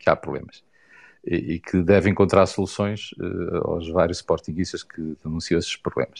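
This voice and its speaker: A man with a very deep, low pitch and fairly even intonation speaks at a moderate pace against a quiet background. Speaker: football fan commentator. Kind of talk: online group discussion.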